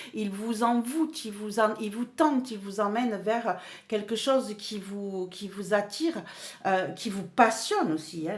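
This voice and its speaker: A woman speaks at a very slow pace. Her pitch is fairly high and her intonation lively. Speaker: tarot card reader. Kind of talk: tarot reading monologue. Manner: animated; hesitant with fillers and repetitions.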